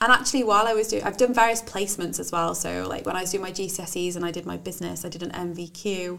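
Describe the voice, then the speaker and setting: Talking at a very fast pace with hardly any pauses, a woman has a medium pitch and ordinary pitch variation. Noticeable background noise sits behind her. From English Midlands. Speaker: business owner and university graduate. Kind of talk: casual interview chat.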